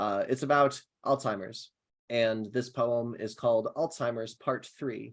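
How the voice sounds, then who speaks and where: A man with an American accent speaks in an ordinary speaking voice at medium pitch, with fairly even intonation and a moderate pace. The recording is very clean, with a silent background. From Ohio. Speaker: poet. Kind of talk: poetry reading; casual chat.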